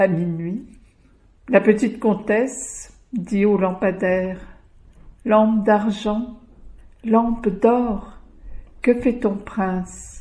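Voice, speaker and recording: A somewhat breathy, dark, mellow tone at a very slow pace, with fairly even intonation. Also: woman. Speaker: storyteller. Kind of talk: folk tale storytelling.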